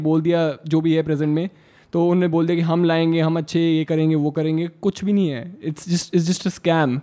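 A man speaks at a moderate pace in a high pitch with a dark, mellow tone. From Haryana, India. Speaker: badminton player. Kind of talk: casual chat.

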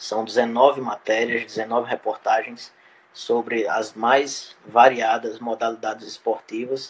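Very slowly, a man speaks at a medium pitch in a monotone, flat intonation. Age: 20s. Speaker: journalist and author. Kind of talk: interview. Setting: live stream.

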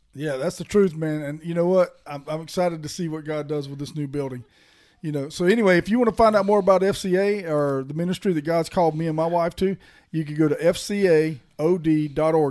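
A man with an ordinary speaking voice talks at a fairly quick pace, his pitch fairly high and his intonation fairly even. The recording is very clean, with a silent background. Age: 40s. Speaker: podcast host and pastor. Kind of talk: casual faith conversation.

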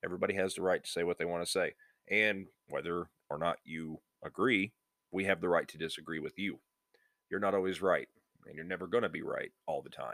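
Fairly quick speech from a man, with long, frequent pauses and big swings in loudness. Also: dry, close sound with no echo. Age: 20s. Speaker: podcast host. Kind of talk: casual monologue.

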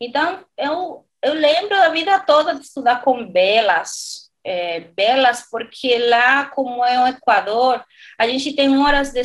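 High, lively female speech in a Dominican accent at a fairly slow pace. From Dominican Republic. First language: Spanish (speaking Portuguese). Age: 40s. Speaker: renewable energy consultant. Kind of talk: interview. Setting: remote recording.

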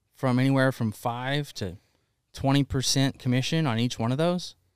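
A man with an American accent at a medium pitch and moderate pace, in a normal speaking voice, on a very clean recording with a silent background and a dry, close sound with no echo. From US South, Alabama. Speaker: fitness entrepreneur and coffee brand founder. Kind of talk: casual chat. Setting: warehouse studio.

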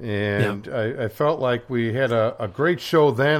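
This man has an ordinary speaking voice at a medium pitch with ordinary pitch variation, speaking at a moderate pace on a very clean recording with a silent background. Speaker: radio host. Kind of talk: casual radio discussion.

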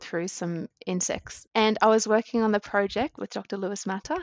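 A woman speaks in an Australian accent. Her pace is moderate. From Queensland, Australia. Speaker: science communications advisor. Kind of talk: casual interview.

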